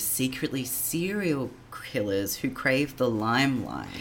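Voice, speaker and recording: Moderate pace over noticeable background noise. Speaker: podcast co-host. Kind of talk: casual chat.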